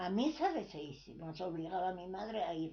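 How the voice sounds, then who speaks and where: Speaking very slowly, a woman has a medium-pitched, somewhat breathy voice. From Asturias, Spain. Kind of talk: oral history interview answer.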